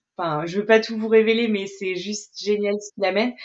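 Monotone, flat delivery at a moderate pace. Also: woman. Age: 40s. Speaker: astrology mentor and coach. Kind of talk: casual chat.

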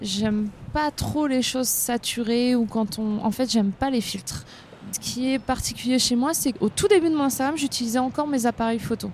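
Noticeable background noise sits behind a woman whose high pitch shows ordinary variation as she speaks at a moderate pace. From northern France. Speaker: content creator and café co-founder. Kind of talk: casual interview. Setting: outdoors in a small street.

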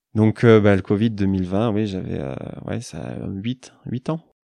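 Against a quiet background, a man in an unremarkable speaking voice talks at a fairly slow pace and fairly low pitch, with ordinary pitch variation. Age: 20s. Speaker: forest therapy guide. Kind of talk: casual interview. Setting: mountain chalet.

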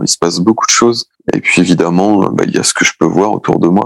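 A man speaks with a very deep, low pitch and ordinary pitch variation at a moderate pace. The sound is dry and close, with no echo. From Brittany, France. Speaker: beach artist. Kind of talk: interview. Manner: hesitant, many repetitions.

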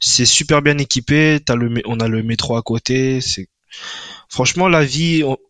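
Over a quiet background, a man's medium-pitched voice shows ordinary pitch variation in a dry, close sound with no echo. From Paris suburbs, France. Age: 30s. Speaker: junior front-end developer. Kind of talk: casual interview. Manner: halting, with many repetitions and fillers.

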